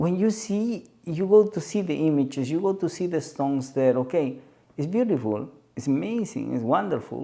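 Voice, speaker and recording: Recorded very cleanly against a silent background, a man with a Peruvian accent and a dark, mellow tone speaks at a moderate pace and fairly high pitch, making very wide pitch swings. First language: Spanish. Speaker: spiritual guide. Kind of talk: podcast conversation. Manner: halting.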